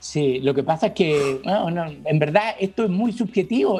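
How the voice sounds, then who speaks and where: The man's voice sits high, and his intonation is lively as he talks at a moderate pace. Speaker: TV critic and university lecturer. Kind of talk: casual chat.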